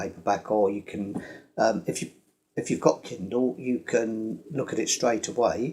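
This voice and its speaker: A man with a British accent, at a moderate pace and medium pitch, with ordinary pitch variation. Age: 70s. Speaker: retired engineer and inventor. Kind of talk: casual explainer talk to camera. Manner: hesitant, many fillers.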